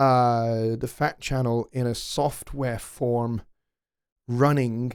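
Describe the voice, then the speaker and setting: A man speaks very slowly in a Scottish accent. His intonation is monotone and flat, on a very clean recording with a silent background. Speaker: music production tutor and livestream host. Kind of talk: live stream Q&A. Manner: halting, many fillers. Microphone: close to the mic, gain turned up.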